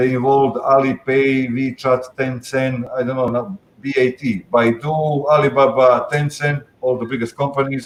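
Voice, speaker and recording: A man with a non-native accent speaks at a medium pitch and a fairly slow pace. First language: not English. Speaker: panelist on digital securities regulation. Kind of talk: panel discussion. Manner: halting, many fillers.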